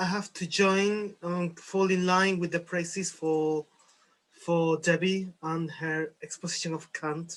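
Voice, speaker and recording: In a Spanish accent, a man speaks very slowly with a high pitch, a bright, sharp tone and fairly even intonation. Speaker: philosophy discussion participant. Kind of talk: group discussion.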